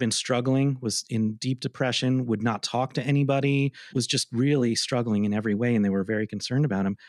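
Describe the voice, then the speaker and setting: Recorded very cleanly with a silent background and a dry, close sound with no echo, a man with an ordinary speaking voice speaks at a fairly quick pace, at medium pitch, with fairly even intonation. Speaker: arts presenter, podcast co-host. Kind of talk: casual chat. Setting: office.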